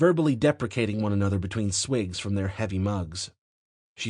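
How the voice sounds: The background stays quiet. A natural reading voice is heard.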